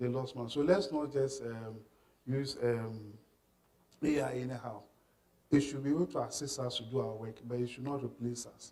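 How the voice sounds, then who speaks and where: A man's dark, mellow voice at medium pitch, moderate in pace, with fairly even intonation and audible room echo. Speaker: workshop trainer. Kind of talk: lecture. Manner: halting, many repetitions and fillers.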